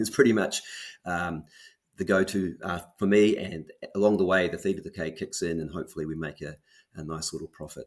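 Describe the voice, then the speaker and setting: A man with a New Zealand accent speaks at a fairly quick pace in a very deep, low pitch, with fairly even intonation but big swings in loudness. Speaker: options trader. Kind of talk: interview. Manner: hesitant, many fillers and repeats.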